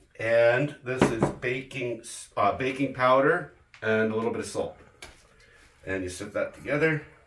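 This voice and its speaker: A man talks with ordinary pitch variation and big swings in loudness. Noticeable background noise is present. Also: medium pitch for a man, moderate pace. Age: 50s. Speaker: home cook. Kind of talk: cooking tutorial. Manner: casual, halting.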